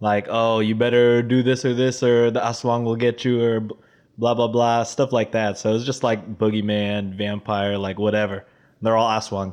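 The man has an American accent and a medium pitch. He speaks at a moderate pace with flat, monotone intonation. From Texas. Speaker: podcast host. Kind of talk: casual chat.

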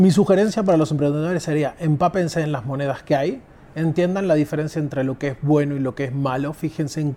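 Here a man talks at a very fast pace. His fairly high pitch shows ordinary variation. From Argentina, Buenos Aires. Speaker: crypto exchange executive. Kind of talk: interview. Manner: halting, with many fillers.

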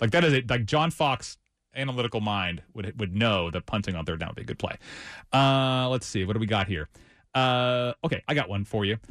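A man talks at a fairly quick pace with lively intonation, medium pitch and a plain, everyday voice. The sound is dry and close with no echo, over a quiet background. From Ohio. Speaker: writer and podcast host. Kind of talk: casual chat.

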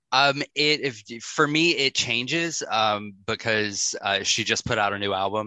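Speaking with an American accent, a man uses a medium pitch and ordinary pitch variation at a fairly slow pace. His is a plain, everyday voice, with hardly any pauses. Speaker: podcast host. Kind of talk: casual interview chat.

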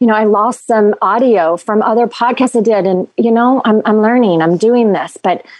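The speaker has a normal speaking voice with ordinary pitch variation. The pace is moderate. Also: woman. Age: 40s. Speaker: well-being doula. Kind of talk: casual interview chat.

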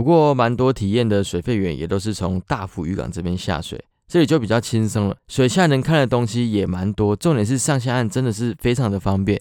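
In a very clean recording with a silent background, a man at medium pitch speaks with a Taiwanese accent and hardly any pauses. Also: lively intonation, fairly quick pace. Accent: Taiwanese Mandarin. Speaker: podcast host and water sports instructor. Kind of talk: casual chat.

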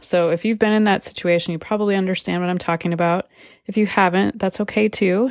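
Heard in a very clean recording with a silent background, a woman with a plain, everyday voice speaks at a medium pitch with fairly even intonation. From California, moved often. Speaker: podcast host and life coach. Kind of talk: personal testimony. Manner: casual, conversational with many fillers.

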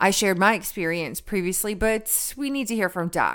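In a plain, everyday voice, a woman speaks at a fairly quick pace with lively intonation. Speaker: podcast co-host. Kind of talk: promotional read.

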